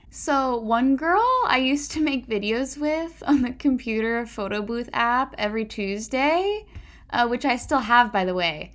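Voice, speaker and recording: Speaking with a Pacific Northwest accent, the voice moves at a fairly slow pace with lively intonation. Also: woman, high pitch for a woman. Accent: General American (Pacific Northwest). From US Pacific Northwest (Puyallup, Washington). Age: 20s. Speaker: podcast host. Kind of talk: casual monologue. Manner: conversational.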